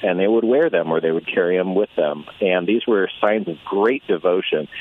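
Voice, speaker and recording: A man's voice moves at a moderate pace while noticeable background noise sits behind it. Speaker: author, convert to Catholicism. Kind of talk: radio interview, conversational. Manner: casual, friendly.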